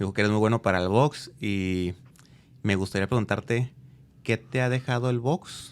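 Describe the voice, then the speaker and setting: With an unremarkable speaking voice, a man at fairly low pitch talks at a moderate pace with ordinary pitch variation. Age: 40s. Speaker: podcast host. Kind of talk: interview.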